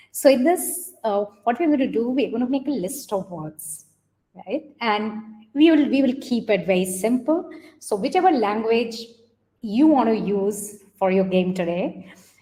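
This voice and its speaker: With an Indian accent, a woman speaks slowly in a fairly high pitch with a dark, mellow tone and very wide pitch swings. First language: Hindi. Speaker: coding educator, workshop leader; coding educator. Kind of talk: online workshop instruction. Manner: hesitant, many fillers. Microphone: webcam.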